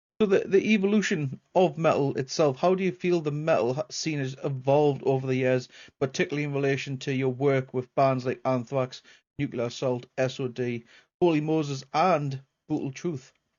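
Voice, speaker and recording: Here a man with a Geordie accent talks at a moderate pace. His pitch is fairly high, with ordinary pitch variation. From northern England, Newcastle. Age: 40s. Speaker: podcast host. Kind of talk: casual interview.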